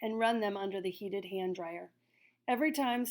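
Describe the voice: Someone is doing plain reading aloud here.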